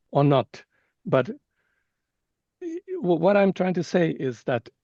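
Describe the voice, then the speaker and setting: Very slow and high for a man, this speaker has a Japanese accent and a dark, mellow tone, recorded dry and close with no echo. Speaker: scientist. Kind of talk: webinar Q&A discussion. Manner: halting, many repetitions.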